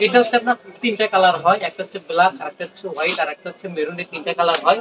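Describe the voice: Very fast speech with a slightly husky edge and ordinary pitch variation. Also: man, high pitch for a man.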